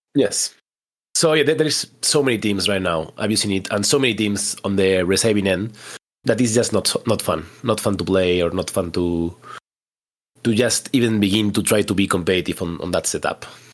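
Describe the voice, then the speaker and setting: A man with a Spanish accent at a fairly low pitch, with ordinary pitch variation and a moderate pace. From Spain. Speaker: competitive tabletop wargame player. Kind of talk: casual interview.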